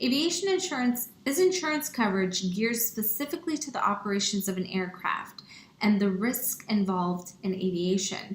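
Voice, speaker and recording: Moderate pace, medium pitch and ordinary pitch variation from a woman with a plain, everyday voice. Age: 30s. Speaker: pilot and aviation nonprofit founder. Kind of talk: online workshop presentation. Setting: online workshop. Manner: conversational with frequent fillers.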